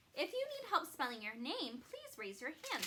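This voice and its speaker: A squeaky, put-on character voice moves at a moderate pace. Its pitch swings very widely. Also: woman, extremely high pitch for a woman. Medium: read story. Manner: gentle, soothing.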